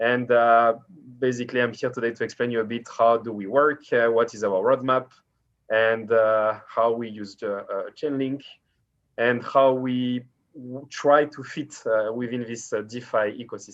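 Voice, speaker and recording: A man of medium pitch speaks in a French accent at a moderate pace, his intonation monotone and flat. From France. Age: 30s. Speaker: startup founder. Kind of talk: interview. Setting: video call.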